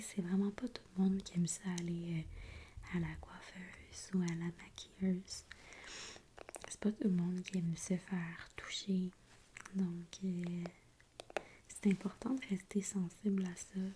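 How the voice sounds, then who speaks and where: A soft-spoken voice with a Quebec accent talks at a very slow pace with fairly even intonation. Noticeable background noise runs underneath. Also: woman. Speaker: ASMR artist. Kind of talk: ASMR makeup roleplay.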